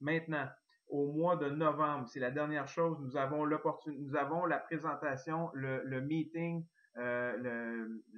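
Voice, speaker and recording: Speaking very slowly, a man uses a fairly high pitch and fairly even intonation. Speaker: network marketing distributor. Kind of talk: sales pitch.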